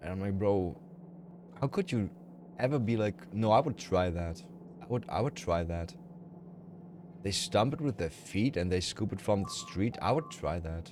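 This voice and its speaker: With a German accent and lively intonation, a man speaks in a fairly low pitch, leaving long, frequent pauses. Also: moderate pace. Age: 30s. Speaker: video game streamer. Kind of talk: casual chat. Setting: live stream. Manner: mumbling.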